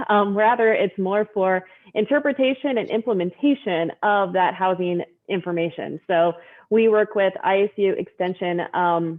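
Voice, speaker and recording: A woman speaks at a moderate pace with a medium pitch and ordinary pitch variation. It is an unremarkable speaking voice, and the loudness stays very even. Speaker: state rural development staff. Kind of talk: meeting update. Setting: video call.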